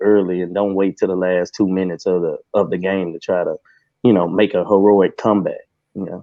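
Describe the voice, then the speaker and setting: In a Texan accent, a man talks at a fairly quick pace. His very deep, low voice stays monotone and flat. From Texas. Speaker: Cowboys fan, Q&A guest. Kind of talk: casual sports chat. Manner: halting.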